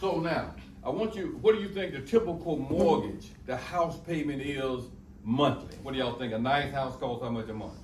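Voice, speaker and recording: Through audible room echo and noticeable background noise, a man with a fairly high voice speaks at a moderate pace with lively intonation. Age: 60s. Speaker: motivational speaker and financial counselor. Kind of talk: talk to students. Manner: animated.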